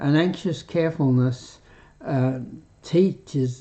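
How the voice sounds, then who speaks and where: A man with an Australian accent speaks at a fairly slow pace, his medium-pitched voice keeping a fairly even intonation. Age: 80s+. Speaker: retired doctor, health live streamer. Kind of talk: health talk live stream. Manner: halting, with fillers.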